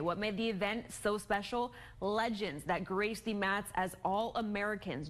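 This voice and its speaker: A woman at medium pitch, an ordinary speaking voice, with ordinary pitch variation. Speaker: multimedia journalist. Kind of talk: sports news anchor read.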